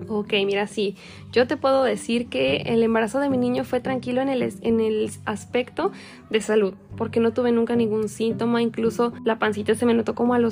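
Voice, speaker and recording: A woman speaks at a fairly quick pace in an unremarkable speaking voice, fairly high in pitch, with fairly even intonation. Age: 20s. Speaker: young mother sharing her experience. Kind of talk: personal testimony.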